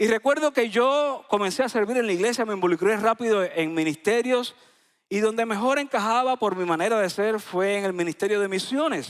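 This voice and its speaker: Speaking at a fairly quick pace, a man uses a high-pitched voice with ordinary pitch variation. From Cuba, Isla de la Juventud. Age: 40s. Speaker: pastor. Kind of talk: sermon. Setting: church.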